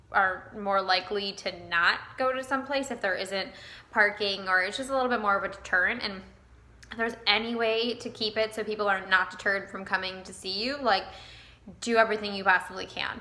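At a fairly quick pace, a woman speaks with fairly even intonation. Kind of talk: casual vlog chat. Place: shop. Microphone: phone near.

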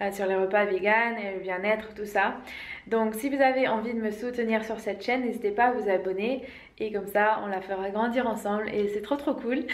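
Audible room echo surrounds a woman speaking at a moderate pace with fairly even intonation. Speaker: vegan wellness vlogger. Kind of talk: casual vlog chat. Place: home room. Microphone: phone near.

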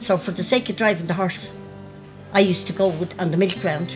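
A woman is speaking. Music plays clearly behind her. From Ireland. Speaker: interviewee. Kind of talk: interview answer. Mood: warm, nostalgic. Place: home room.

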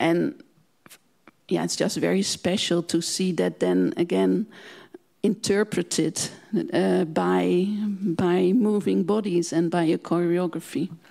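A woman with a Dutch accent speaks very slowly, with long, frequent pauses and very even loudness, against a quiet background. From Netherlands. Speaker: museum director; guest. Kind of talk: panel discussion. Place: hall. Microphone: handheld.

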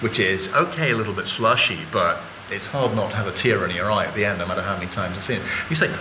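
The speech races at a very fast pace. Noticeable background noise runs underneath. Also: man. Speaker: guest. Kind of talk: panel talk, lecture-like explanation. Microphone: podium.

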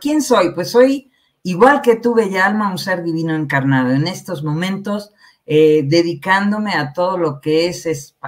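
The background is quiet as a woman speaks at a fairly slow pace. Her fairly low voice carries lively intonation. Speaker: guest. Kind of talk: interview answer. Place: home room. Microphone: headset.

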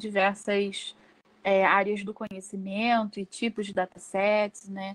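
A woman speaks at a fairly slow pace. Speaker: workshop presenter, researcher; presenter. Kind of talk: lecture. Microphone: video call.

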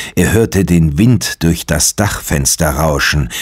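A man speaks at a very slow pace, his pitch swinging very widely. His voice carries vocal fry. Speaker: audiobook narrator. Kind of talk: ghost story reading aloud, hushed bedtime-style audiobook narration. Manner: slow, measured, hushed and suspenseful.

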